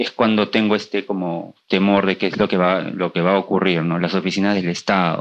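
Against a quiet background, the speech moves at a moderate pace with hardly any pauses. The intonation is monotone and flat. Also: man, very deep, low pitch for a man. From Peru, Lima. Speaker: journalist and writer. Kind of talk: interview. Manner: halting, repeats words.

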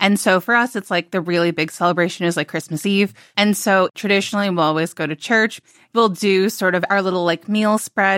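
In an American accent, a woman with a normal speaking voice talks at a fairly quick pace and medium pitch with fairly even intonation, the sound dry and close with no echo and the recording very clean over a silent background. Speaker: food writer and reporter. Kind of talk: casual interview.

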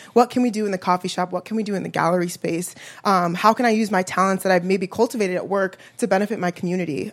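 In a very clean recording with a silent background, a woman with an American accent talks at a very fast pace, her medium pitch carried by fairly even intonation. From Chicago. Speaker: apartment resident. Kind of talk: personal story at live event. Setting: coffee shop with live audience.

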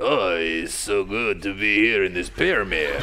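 A man performs a put-on character voice over light background noise. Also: moderate pace.

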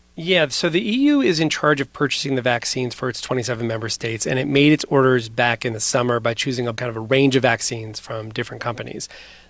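A man rattles along at a very fast pace, with noticeable background noise around him. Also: medium pitch for a man, ordinary pitch variation. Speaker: foreign correspondent. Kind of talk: news report conversation.

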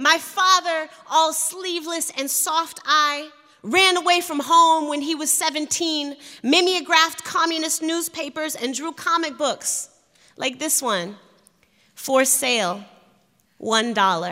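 Speaking in an American accent, a woman projects a raised voice at an extremely high pitch, very slowly and with ordinary pitch variation. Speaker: poet. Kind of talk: poetry reading. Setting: stage with audience.

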